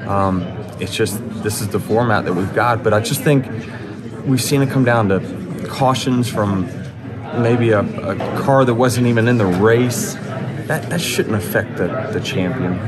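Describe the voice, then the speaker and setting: Loud background noise fills the clip as a man speaks slowly with ordinary pitch variation. He leaves long, frequent pauses at his fairly slow pace. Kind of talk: interview answer. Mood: relaxed, some laughter. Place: hall. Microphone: handheld.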